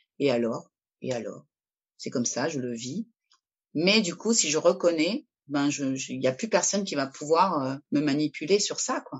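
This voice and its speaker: A woman's very deep, low voice, lively in intonation, at a fairly slow pace. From Peru, moved to France at 10. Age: 50s. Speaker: artist and art therapist. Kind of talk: casual chat.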